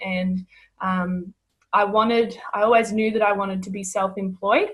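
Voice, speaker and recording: Somewhat breathy and in an Australian accent, a woman speaks at a moderate pace and medium pitch with monotone, flat intonation. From Australia, rural Victoria. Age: 20s. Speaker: network marketing distributor. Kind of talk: casual interview.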